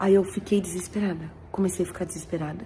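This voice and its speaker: Noticeable noise fills the background. Through it, a woman talks. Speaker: churchgoer sharing testimony. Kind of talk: testimony.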